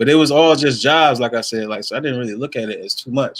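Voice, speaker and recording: A man with an American accent talks at a fairly quick pace in a normal speaking voice. His pitch sits in the medium range with ordinary variation. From North Carolina (New Bern). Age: 30s. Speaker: film and media creator. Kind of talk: casual chat. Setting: in a car.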